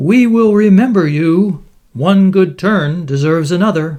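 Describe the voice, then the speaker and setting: A man uses a put-on character voice. His pitch is high. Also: moderate pace. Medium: read story.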